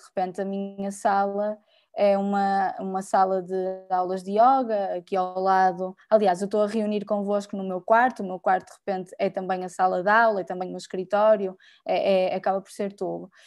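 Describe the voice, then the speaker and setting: Her intonation is monotone and flat, with big swings in loudness. The woman keeps a moderate pace. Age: 30s. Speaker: designer and lecturer, activist. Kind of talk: panel talk. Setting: video call from her bedroom. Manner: hesitant, many fillers. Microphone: unstable internet connection.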